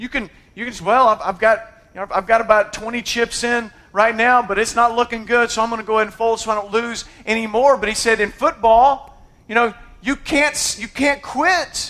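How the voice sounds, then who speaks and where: The speaker has an American accent and an animated tone. The voice is raised and projected. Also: man, extremely high pitch for a man, moderate pace. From United States. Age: 40s. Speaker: pastor. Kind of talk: sermon. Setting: church.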